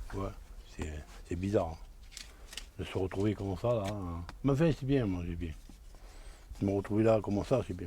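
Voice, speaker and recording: With a southern French accent, a man speaks in a fairly low, somewhat breathy voice with ordinary pitch variation, leaving long, frequent pauses. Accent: Cévennes, southern French rural. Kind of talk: interview answer. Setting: outdoors. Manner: hard to understand at times.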